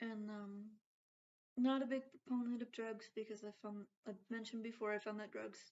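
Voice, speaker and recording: Her intonation monotone and flat, a woman speaks at a fairly high pitch. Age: 40s. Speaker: vlogger. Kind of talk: casual vlog talk. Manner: halting, many fillers.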